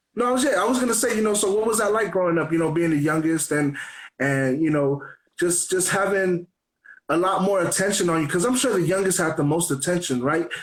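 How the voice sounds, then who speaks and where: A high-pitched man talks at a fairly quick pace with lively intonation. His loudness stays very even, and the room echo is audible. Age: 30s. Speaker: radio host. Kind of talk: interview. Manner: casual.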